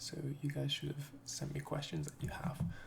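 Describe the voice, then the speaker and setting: A man is whispering. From United Kingdom. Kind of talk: ASMR Q and A talk to camera. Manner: soft-spoken, whispered.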